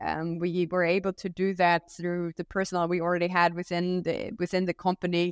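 A woman with a German accent talks at a fairly quick pace in a fairly low pitch, with monotone, flat intonation and hardly any pauses. The very clean recording has a silent background and a dry, close sound with no echo. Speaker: company co-founder. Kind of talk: interview. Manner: hesitant, frequent fillers.

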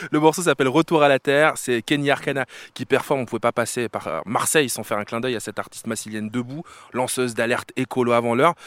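A man with a plain, everyday voice speaks at a fairly quick pace and medium pitch with ordinary pitch variation, in a dry, close sound with no echo on a very clean recording with a silent background. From France, Paris-area suburbs (banlieue). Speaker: radio host. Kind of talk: casual chat. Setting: outdoors.

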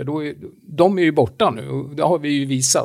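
A man talks at a moderate pace in an ordinary speaking voice. His pitch is fairly high, with ordinary pitch variation. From Romania. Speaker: podcast co-host. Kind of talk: casual chat.

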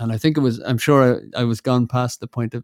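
Speaking very fast with an Irish accent, a man has a dark, mellow tone and a medium pitch. The recording is very clean with a silent background and a dry, close sound with no echo. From Ireland. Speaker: musician and composer. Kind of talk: casual chat.

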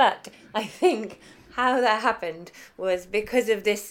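A woman with a southern English accent. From southern Africa (Zimbabwe, Botswana, South Africa) until 8, then London. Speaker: chef and food writer. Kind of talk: interview. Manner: hesitant, many fillers.

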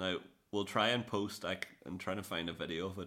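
Speaking with an Irish accent at a very fast pace, the voice has a bright, sharp tone, vocal fry and fairly even intonation. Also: man. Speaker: podcast host. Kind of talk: casual chat.

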